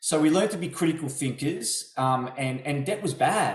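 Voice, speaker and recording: This man has an Australian accent and a fairly high pitch. His voice is somewhat breathy, and he speaks at a moderate pace. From Melbourne, Australia. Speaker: property investor. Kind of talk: interview testimony. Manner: hesitant, repeats words.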